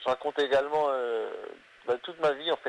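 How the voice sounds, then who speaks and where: A man rattles off his words very fast, and the sound is dry and close with no echo. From northern France (Hazebrouck, near Lille). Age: 20s. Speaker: comedian. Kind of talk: interview.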